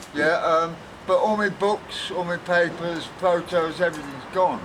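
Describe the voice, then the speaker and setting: A man with a high-pitched voice speaks at a moderate pace against noticeable background noise. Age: 60s. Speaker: homeless man. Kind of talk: interview answer. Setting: outdoors.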